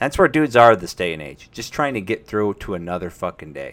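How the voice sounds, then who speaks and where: With a plain, everyday voice, a man speaks at a fairly quick pace and a fairly low pitch. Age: 30s. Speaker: streamer and podcast host. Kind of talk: casual live-stream talk about mental health. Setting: home live stream with microphone. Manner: casual, with frequent fillers and restarts.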